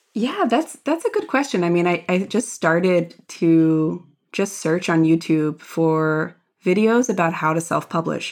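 A woman with a Philadelphia accent speaks fairly slowly in a fairly low voice at very even loudness, on a very clean recording with a silent background. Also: ordinary pitch variation. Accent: American (Philadelphia). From US, Philadelphia area. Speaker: DEI strategist and author. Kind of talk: interview conversation. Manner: hesitant, many repetitions and fillers.

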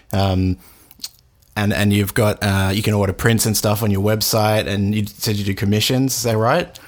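Speaking with an Australian accent, a man with a fairly low pitch keeps a fairly even intonation and very even loudness. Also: moderate pace. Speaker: podcast host. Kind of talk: casual interview. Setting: video call.

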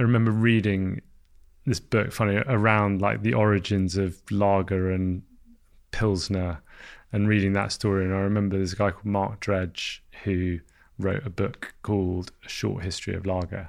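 A man speaks in a London accent with fairly even intonation. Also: fairly low pitch for a man, moderate pace, quiet background. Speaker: founder of an alcohol-free beer brand. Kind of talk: casual interview.

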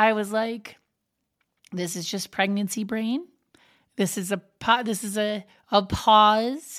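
With ordinary pitch variation, the woman's fairly high voice unfolds very slowly. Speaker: podcast host. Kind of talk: casual monologue.

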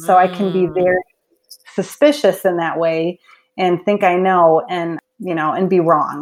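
With an unremarkable speaking voice, a woman talks at a fairly slow pace and medium pitch, her pitch varying in an ordinary way. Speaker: author and speaker, mother. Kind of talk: interview conversation.

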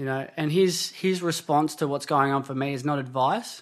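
Against a quiet background, a man with an Australian accent talks at a moderate pace, his fairly high voice moving with ordinary pitch variation. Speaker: construction worker and addiction support worker. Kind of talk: podcast interview. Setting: lounge room.

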